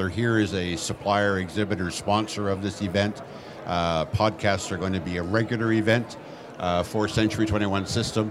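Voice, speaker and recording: Fairly even intonation at a moderate pace, with audible room echo and noticeable background noise. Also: man, fairly low pitch for a man. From Nova Scotia, Canada. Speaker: real estate executive. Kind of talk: live podcast interview. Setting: stage with audience at a conference.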